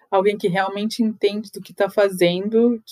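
Her pitch is medium for a woman and her intonation monotone and flat. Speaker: photographer and podcast host. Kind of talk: solo podcast monologue. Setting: home, seated on bed by the window.

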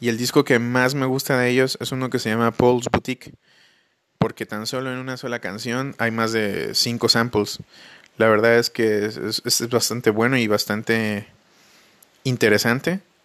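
The sound is dry and close with no echo as a man speaks at a moderate pace, medium pitch, and fairly even intonation. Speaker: podcast host. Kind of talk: casual monologue. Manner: halting.

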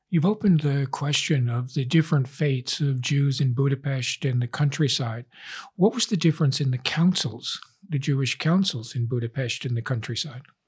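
A man speaks at a moderate pace with a fairly high, somewhat breathy voice. His pitch varies in an ordinary way. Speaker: professor. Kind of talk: interview.

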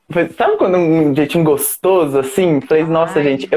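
At a moderate pace, a man speaks in a high pitch. His pitch variation is ordinary. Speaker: actor and podcast host. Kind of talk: casual chat. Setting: live video stream from home. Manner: animated.

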